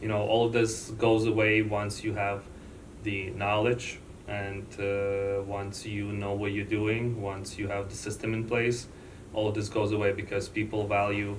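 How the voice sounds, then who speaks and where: Speech comes at a fairly slow pace in a flat monotone, with a non-native accent. Noticeable background noise and audible room echo surround it. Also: man, fairly low pitch for a man. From born outside the US. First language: not English. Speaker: loan officer. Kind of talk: interview.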